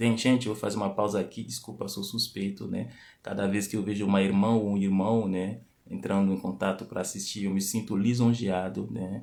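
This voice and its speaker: On a very clean recording with a silent background, a man speaks fairly quickly in a fairly low voice with fairly even intonation. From Benin. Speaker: lecturer on culture and language. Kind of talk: live stream talk. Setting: live stream.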